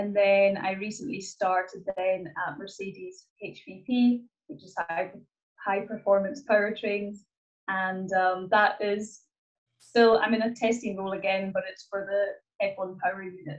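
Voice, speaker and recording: A woman with a Hebridean accent speaks at a medium pitch. Her intonation stays fairly even while her loudness swings widely. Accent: Scottish Hebridean. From Scotland, Isle of Lewis. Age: 20s. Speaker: motorsport engineer. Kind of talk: interview. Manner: hesitant, many fillers.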